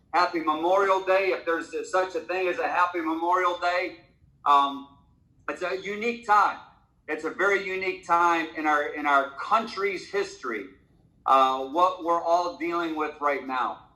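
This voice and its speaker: With a bright, sharp tone and a high pitch, a man speaks at a moderate pace with ordinary pitch variation in a room with audible echo. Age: 60s. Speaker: network marketing leader. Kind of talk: motivational talk on a conference call. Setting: conference call. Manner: halting, many fillers.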